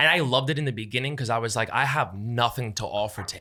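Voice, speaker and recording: The delivery is very fast, with an animated tone and ordinary pitch variation. Its tone is bright and sharp. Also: man, very clean recording, silent background. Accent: New York. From New York City, Lower East Side. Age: 30s. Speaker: content creator. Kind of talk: casual chat.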